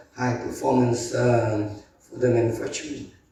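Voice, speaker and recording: A man speaks at a medium pitch in a flat monotone. The room echo is audible. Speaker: industry association representative. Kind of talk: conference talk. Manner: halting, many fillers.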